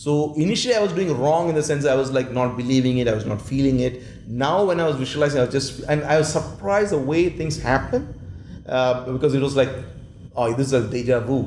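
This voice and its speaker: There is audible room echo and noticeable background noise. A man talks at a very fast pace in a fairly high pitch with ordinary pitch variation. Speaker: world champion public speaker and management consultant. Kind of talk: interview.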